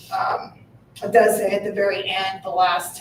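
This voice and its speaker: A woman speaks over noticeable background noise. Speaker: municipal finance advisor. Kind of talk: board meeting presentation. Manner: hesitant, many fillers.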